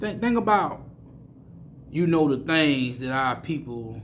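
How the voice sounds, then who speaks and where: A man with an American accent talks at a moderate pace. Room echo is audible. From US South, Mississippi. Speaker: street preacher / bible teacher. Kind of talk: sermon. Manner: repetitive, stammering restarts.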